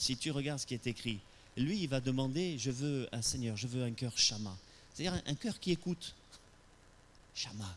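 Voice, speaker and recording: Lively intonation from a man at medium pitch, with big swings in loudness and long, frequent pauses. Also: moderate pace. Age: 60s. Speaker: pastor. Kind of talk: sermon. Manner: animated; hesitant with repetitions.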